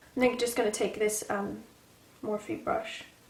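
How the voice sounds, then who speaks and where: A woman with an American accent, high in pitch, at a moderate pace, over noticeable background noise. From England. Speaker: beauty vlogger. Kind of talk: casual makeup tutorial talk to camera.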